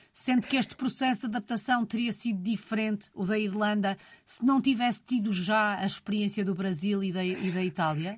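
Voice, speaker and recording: On a very clean recording with a silent background, a woman speaks at a moderate pace with hardly any pauses. Her medium-pitched voice is somewhat breathy, with ordinary pitch variation. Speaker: radio host interviewer. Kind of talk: interview, formal and polished.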